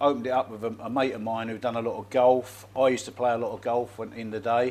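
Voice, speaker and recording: Speaking very fast in a London accent, a man keeps a medium pitch and a monotone, flat intonation while his loudness swings widely. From London and Essex, England. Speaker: expat bar owner. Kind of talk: casual interview chat. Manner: halting, repetitive.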